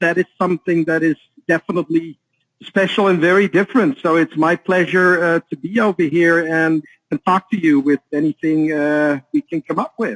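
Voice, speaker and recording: A man's high voice in a Dutch accent, with very even loudness, ordinary pitch variation and a dry, close sound without echo. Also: moderate pace. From Netherlands. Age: 40s. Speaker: author and trading educator. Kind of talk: interview.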